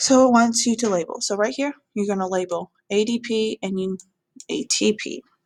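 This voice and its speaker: Using a normal speaking voice, a woman with a fairly high pitch talks at a moderate pace with ordinary pitch variation and a dry, close sound with no echo. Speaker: biology teacher. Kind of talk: tutorial. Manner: casual.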